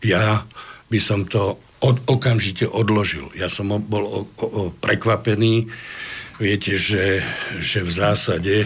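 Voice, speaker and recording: A man talks at a fairly slow pace and fairly low pitch, with ordinary pitch variation. Noticeable background noise is present. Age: 60s. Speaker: defense lawyer. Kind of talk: studio interview. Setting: studio. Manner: halting.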